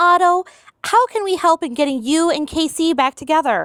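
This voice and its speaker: A woman's squeaky, put-on character voice at an extremely high pitch, with lively intonation at a moderate pace, dry and close with no echo. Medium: audio drama.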